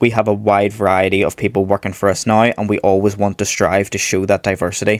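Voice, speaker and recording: Speaking very fast in a Northern Irish accent, a man with a fairly low pitch keeps a monotone, flat intonation, and the sound is dry and close with no echo. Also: very even loudness. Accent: Northern Irish (Belfast). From Northern Ireland, Belfast. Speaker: psychological wellbeing practitioner. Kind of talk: interview.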